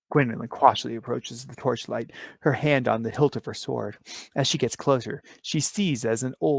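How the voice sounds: Natural reading with ordinary pitch variation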